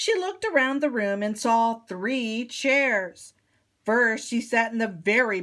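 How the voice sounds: The clip has a natural reading voice with ordinary pitch variation against a quiet background.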